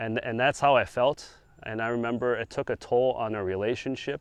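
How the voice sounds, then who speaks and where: With an American accent, a man speaks in an ordinary speaking voice at medium pitch and a moderate pace, with ordinary pitch variation and a quiet background. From China, moved to the US at seven. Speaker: speaker sharing his testimony. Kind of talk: testimony. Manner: casual, with frequent fillers and restarts.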